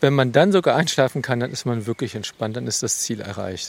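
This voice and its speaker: Over noticeable background noise, a man speaks at a medium pitch with ordinary pitch variation, the sound dry and close with no echo. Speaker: forest educator. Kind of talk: interview. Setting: outdoors in a forest.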